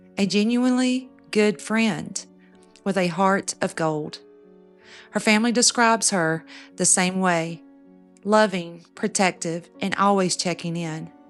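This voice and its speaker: Over music in the background, a woman at medium pitch speaks at a fairly slow pace, leaving long, frequent pauses. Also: ordinary pitch variation. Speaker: true crime narrator. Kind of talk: true crime storytelling narration. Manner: soft-spoken, intimate.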